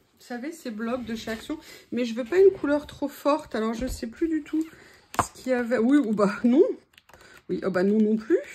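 A woman speaks at a high pitch with lively intonation. Her speech has long, frequent pauses. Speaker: craft youtuber. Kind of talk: crafting tutorial. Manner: casual, chatty with hesitations.

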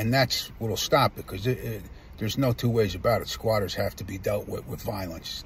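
With light background noise and a dry sound with no echo, a man speaks at a moderate pace. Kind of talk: angry rant vlog. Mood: angry, indignant. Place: car. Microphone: phone near.

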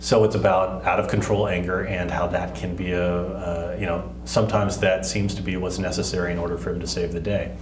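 Over noticeable background noise, a man with an American accent and a very deep, low pitch talks at a very fast pace with ordinary pitch variation. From Texas. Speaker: comic book writer and filmmaker. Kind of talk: interview. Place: studio.

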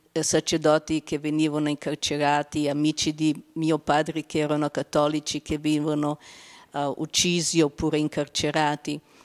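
Against a quiet background, a woman speaks fairly slowly in a very deep, low, monotone voice with flat intonation. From Slovenia. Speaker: consecrated laywoman. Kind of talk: testimony. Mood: calm, reflective. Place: hall. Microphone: handheld.

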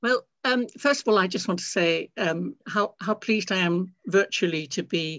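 A woman speaks with vocal fry against a quiet background. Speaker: literature professor. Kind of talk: interview answer. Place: home room. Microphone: video call.

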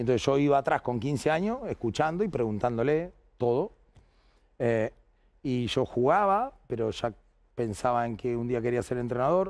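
Over a quiet background, a man talks at a moderate pace with lively intonation and long, frequent pauses. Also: medium pitch for a man. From Argentina, Bahía Blanca; Argentina. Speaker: basketball coach. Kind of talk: casual interview chat. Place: studio. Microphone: headset.

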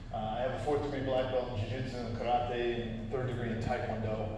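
A man talks at a fairly quick pace. Strong room echo surrounds his voice, and noticeable background noise is present. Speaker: presenter, instructor. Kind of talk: lecture. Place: hall. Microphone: camera far.

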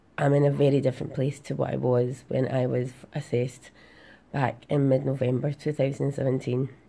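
A woman with a Glasgow accent speaks in a very deep, low voice with a dark, mellow tone, flat monotone intonation and a moderate pace. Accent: Scottish (Glasgow). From Glasgow, Scotland. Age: 30s. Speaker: patient sharing her health journey. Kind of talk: casual talk to camera. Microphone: phone near.

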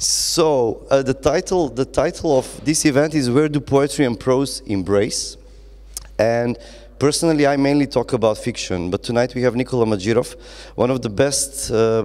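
Moderate-paced male speech over a quiet background. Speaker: event moderator. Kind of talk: interview question / introduction. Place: stage. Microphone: handheld.

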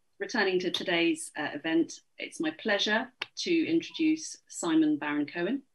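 A woman talks at a moderate pace, and the background stays quiet. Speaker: event host. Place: home room. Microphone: video call.

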